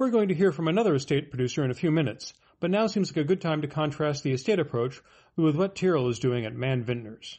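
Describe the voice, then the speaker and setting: Somewhat breathy, a man with a fairly high pitch talks very fast with lively intonation. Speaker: podcast host, wine marketer. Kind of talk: scripted narration.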